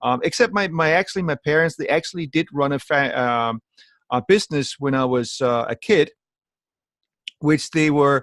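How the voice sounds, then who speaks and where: Over a quiet background, a man talks at a moderate pace. He has a slight Danish accent and ordinary pitch variation. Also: fairly high pitch for a man, dry, close sound with no echo. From Denmark. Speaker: network marketing entrepreneur. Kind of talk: training call talk.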